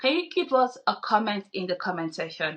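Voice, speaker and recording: Speaking at a moderate pace with a non-native accent, a woman uses a medium pitch. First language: not English. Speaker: podcast co-host. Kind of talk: casual discussion.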